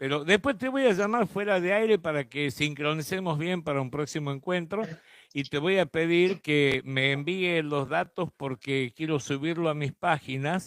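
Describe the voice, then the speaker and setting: A man talks at a moderate pace and a fairly high pitch with ordinary variation. The sound is dry and close, with no echo. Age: 60s. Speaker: radio host. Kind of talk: radio interview. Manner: casual.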